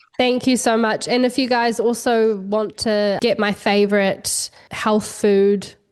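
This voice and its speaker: With a New Zealand accent, the speaker talks at a fairly slow pace with fairly even intonation, hardly any pauses and very even loudness. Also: woman, fairly high pitch for a woman. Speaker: wellness entrepreneur and cookbook author. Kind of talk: podcast interview.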